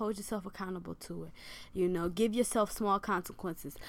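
A woman with an American accent speaks at a fairly quick pace with ordinary pitch variation on a very clean recording with a silent background. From Michigan. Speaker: podcast co-host, mother. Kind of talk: casual chat.

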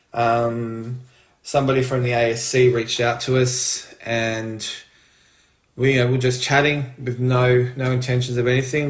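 A man speaks at a medium pitch with an Australian accent, his intonation monotone and flat. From Australia, Melbourne. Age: 40s. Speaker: retail manager, intended parent. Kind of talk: casual storytelling.

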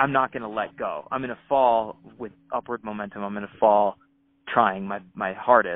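This man has an ordinary speaking voice, with fairly low pitch and fairly even intonation. He talks at a moderate pace, with big swings in loudness. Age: 30s. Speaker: rock climber. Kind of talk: casual interview.

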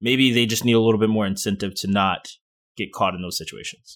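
An unremarkable speaking voice with ordinary pitch variation is heard on a very clean recording with a silent background. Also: man. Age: 20s. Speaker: gaming podcast co-host. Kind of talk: casual chat.

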